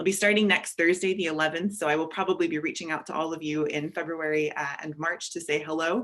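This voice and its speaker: A woman speaks very fast in a fairly low voice with an American accent, barely pausing at all. Her intonation stays fairly even over noticeable background noise. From United States. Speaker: networks and partnerships manager. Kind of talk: self-introduction in meeting.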